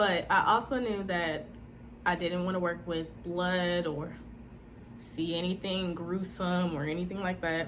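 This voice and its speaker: Her tone animated and her pitch fairly low, a woman talks at a moderate pace through audible room echo and noticeable background noise. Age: 20s. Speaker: speech-language pathology student and vlogger. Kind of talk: personal testimony vlog.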